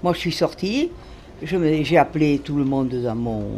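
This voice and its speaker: Noticeable background noise sits behind this voice. A woman speaks at a moderate pace in a very deep, low pitch. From southwestern France, Hautes-Pyrénées near Lourdes. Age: 80s+. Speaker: retired telephone operator, neighbourhood resident. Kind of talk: casual interview chat.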